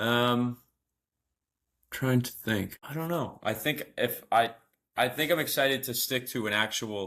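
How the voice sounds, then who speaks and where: Speaking with a Boston accent, a man has a bright, sharp tone at medium pitch and ordinary pitch variation. His pace is fairly slow, with long, frequent pauses. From Boston area, US. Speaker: amateur marathon runner. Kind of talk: casual chat.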